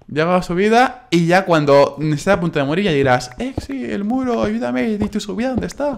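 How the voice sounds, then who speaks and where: A high-pitched man at a fairly quick pace, with very wide pitch swings and hardly any pauses. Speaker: gaming YouTuber. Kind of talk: casual gaming commentary.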